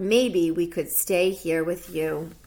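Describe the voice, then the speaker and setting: Someone performs a put-on character voice with fairly even intonation. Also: woman, fairly low pitch for a woman. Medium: read story.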